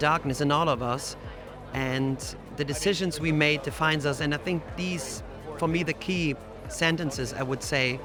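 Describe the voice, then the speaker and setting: Music plays in the background as a man speaks at a moderate pace, his pitch fairly high with ordinary variation. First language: not English. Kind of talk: interview.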